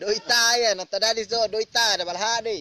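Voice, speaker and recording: A man's raised, projected, high-pitched voice with an East Nusa Tenggara accent, over noticeable background noise. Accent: Rote regional Indonesian. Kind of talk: casual storytelling. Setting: informal recording, not studio.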